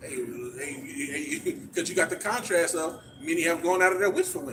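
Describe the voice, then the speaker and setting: High-pitched male speech with ordinary pitch variation, noticeable background noise all around. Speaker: street preacher. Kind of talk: street preaching. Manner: stuttering.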